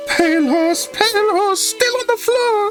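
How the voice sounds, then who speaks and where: Clear music plays in the background behind a squeaky, put-on character voice at an extremely high pitch, delivered at a moderate pace. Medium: game stream.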